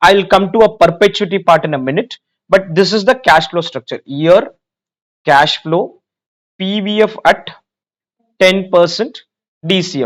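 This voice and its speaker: With an Indian accent and a high pitch, a man speaks at a moderate pace with ordinary pitch variation and long, frequent pauses. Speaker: finance exam teacher. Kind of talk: lecture.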